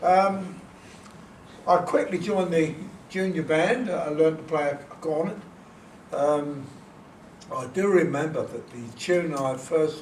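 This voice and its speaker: A man with a fairly high voice speaks fairly slowly with long, frequent pauses, big swings in loudness and ordinary pitch variation, while room echo is audible. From northern England. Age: 80s+. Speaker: author and composer. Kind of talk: talk to an audience. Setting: event with audience. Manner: halting.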